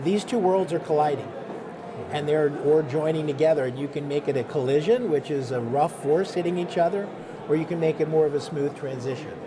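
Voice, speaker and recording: A man with an American accent, fairly high-pitched, fairly quick, with ordinary pitch variation, audible room echo and noticeable background noise. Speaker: health IT executive. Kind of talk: interview.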